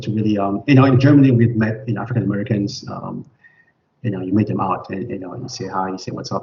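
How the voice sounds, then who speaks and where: A somewhat breathy man speaks at a very fast pace in a medium pitch. His intonation is lively and his loudness swings widely. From Cameroon. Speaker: immunologist. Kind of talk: interview. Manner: halting, many repetitions and fillers.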